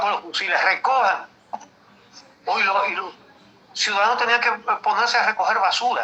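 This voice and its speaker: A man's raised, projected voice. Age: 70s. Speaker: veteran journalist. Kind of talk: interview. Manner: halting.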